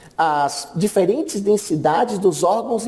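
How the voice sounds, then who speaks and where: A man's high voice with lively intonation against noticeable background noise. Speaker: radiology lecturer. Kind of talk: conference talk.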